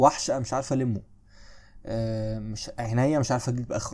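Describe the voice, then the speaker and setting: The voice has a dark, mellow tone and an Egyptian accent, with fairly even intonation. The recording is very clean, with a silent background. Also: man. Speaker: history teacher. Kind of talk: lecture. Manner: less loud than usual; casual, conversational.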